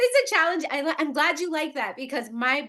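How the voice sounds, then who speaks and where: A woman speaks in an animated tone at a high pitch with lively intonation. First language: Spanish. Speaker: podcast host and running coach. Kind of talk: interview podcast.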